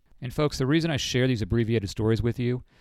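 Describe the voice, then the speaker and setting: A man at a very fast pace, medium in pitch with ordinary pitch variation, in a very clean recording with a silent background. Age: 40s. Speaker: financial advisor and podcast host. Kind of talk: casual monologue. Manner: conversational.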